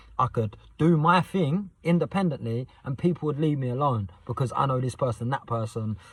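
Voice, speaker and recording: A man's medium-pitched voice comes across somewhat breathy and animated in tone. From southern England, Southend, Essex. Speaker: youth mentor and vlogger. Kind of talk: casual vlog monologue. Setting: night time, next to sleeping son on estate. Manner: fast.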